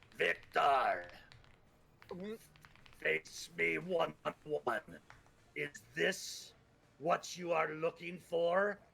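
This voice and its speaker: In a put-on character voice, a gruff, growling, raspy middle-pitched voice moves at a very slow pace with long, frequent pauses. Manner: menacing, confrontational.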